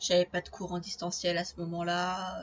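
Somewhat breathy, fairly slow woman's voice at medium pitch. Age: 20s. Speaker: podcaster and aspiring novelist. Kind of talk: solo podcast monologue.

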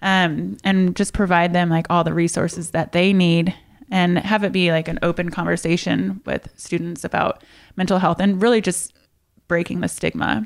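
A woman's ordinary speaking voice with an American accent, fairly low in pitch, with fairly even intonation, very even loudness and a moderate pace, in a very clean recording with a silent background. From US Midwest, Indiana. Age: 30s. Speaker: fitness entrepreneur. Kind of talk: interview.

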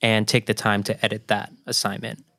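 Someone with an American accent talks at a moderate pace in a plain, everyday voice. The recording is very clean, with a silent background. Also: man. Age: 20s. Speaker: freelance photographer. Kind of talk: casual chat.

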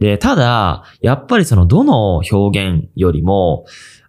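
A man's fairly low, dark, mellow voice with very wide pitch swings. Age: 20s. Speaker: video creator and podcast host. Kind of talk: casual solo podcast talk. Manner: casual, with many fillers.

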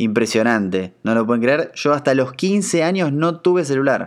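Against a quiet background, a plain, everyday voice talks at a moderate pace with ordinary pitch variation. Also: man. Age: 30s. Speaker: podcast host. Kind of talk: casual monologue.

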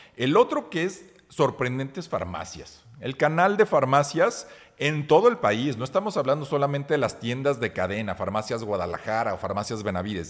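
This very clean recording has a silent background, and a man talks at a moderate pace with vocal fry. His fairly high pitch swings very widely. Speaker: marketing podcast co-host. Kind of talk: casual chat.

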